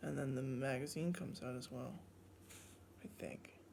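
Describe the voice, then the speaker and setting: Noticeable noise surrounds a soft-spoken voice. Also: man. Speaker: toy collector reviewer. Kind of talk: product review unboxing. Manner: soft-spoken, quiet; casual, hesitant with fillers.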